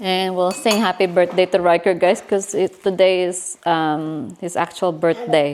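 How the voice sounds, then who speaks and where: Speaking at a fairly slow pace, a woman barely pauses. Her pitch is medium and her intonation fairly even. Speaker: family vlogger. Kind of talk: casual vlog. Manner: loud. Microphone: no mic, speaking louder.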